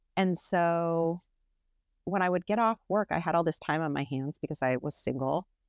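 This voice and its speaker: An unremarkable speaking voice from a woman at fairly low pitch, moderate pace and ordinary pitch variation, in a very clean, dry, close recording with no echo and a silent background. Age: 50s. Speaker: artist and illustrator. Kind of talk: interview conversation.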